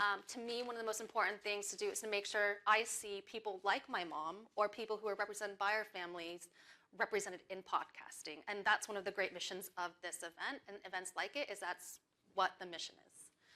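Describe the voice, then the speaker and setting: Her bright, sharp tone sits at a medium pitch as the woman talks at a fairly quick pace, her intonation fairly even but her loudness swinging widely. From California. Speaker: podcast industry professional, workshop leader. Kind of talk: live workshop presentation. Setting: stage with live audience.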